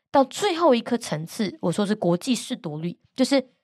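A woman's animated, fairly high voice with very wide pitch swings, on a very clean recording with a silent background. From Taiwan, Gangshan (Kaohsiung). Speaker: international news podcaster and author. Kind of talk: interview. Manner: animated, laughs often.

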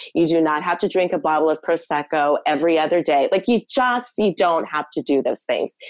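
A woman with an American accent speaks in an ordinary speaking voice, her pitch fairly low with ordinary pitch variation. Her loudness stays very even, and she leaves hardly any pauses. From United States. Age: 50s. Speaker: former publicist, expat. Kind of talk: interview conversation.

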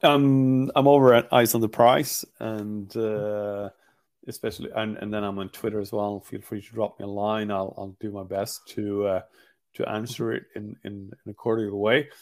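A man with a Swedish accent speaks at a moderate pace in a fairly low pitch. His intonation stays fairly even while his loudness swings widely. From Sweden, Gothenburg. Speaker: hockey journalist. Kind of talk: podcast interview. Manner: halting, many repetitions.

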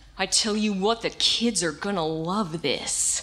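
Using a booming, put-on character voice, a woman speaks at a medium pitch and a fairly slow pace with ordinary pitch variation over light background noise. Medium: read story. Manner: loud, blustering, bellowing.

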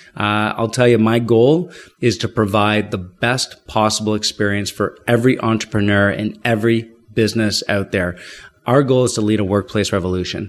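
A man with a Canadian accent, an ordinary speaking voice, fairly low pitch, fairly even intonation and moderate pace, in a very clean recording with a silent background. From Ottawa, Canada. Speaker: business executive. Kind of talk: interview. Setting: office building.

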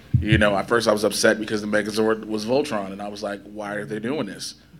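Through noticeable background noise, a man with an American accent talks at a fairly quick pace in a fairly low pitch. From Chicago South Side, US. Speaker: entertainment interviewer and panelist. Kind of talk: convention panel discussion.

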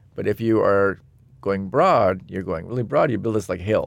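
Here is a man with an American accent and a normal speaking voice. His pitch is fairly low, with ordinary pitch variation, at a moderate pace. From US, Seattle. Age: 50s. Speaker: designer and technologist. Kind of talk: interview conversation.

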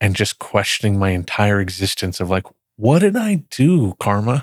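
Recorded very cleanly against a silent background with a dry, close sound and no echo, a man with an American accent speaks at a moderate pace in a fairly low pitch with ordinary pitch variation. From Texas, Dallas area (Plano). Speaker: healthcare tech executive. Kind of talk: interview conversation. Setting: studio.

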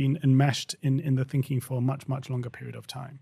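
A man's fairly high, somewhat breathy voice with a dark, mellow tone, at a very fast pace, on a very clean recording with a silent background. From England. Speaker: company co-founder and CEO. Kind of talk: interview conversation.

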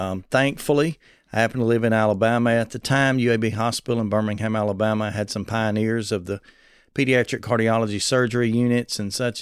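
In a Southern US accent, a man delivers his words in a flat monotone at a fairly quick pace and medium pitch, on a very clean recording with total silence behind him. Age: 40s. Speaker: preacher and transplant advocate. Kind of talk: interview. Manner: youthful-sounding.

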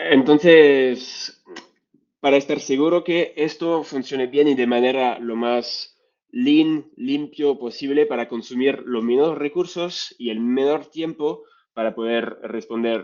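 This speaker has a strong French accent. The pitch varies in an ordinary way. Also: man. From France. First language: French (speaking Spanish). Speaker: data science lead. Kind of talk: interview.

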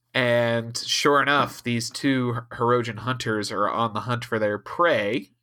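Speaking slowly-ish with fairly even intonation, a man at medium pitch has an Ohio accent and a bright, sharp tone. The recording is very clean, with a silent background. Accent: Ohio, says fur for for. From US Midwest, Ohio. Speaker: podcast host. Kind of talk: casual chat.

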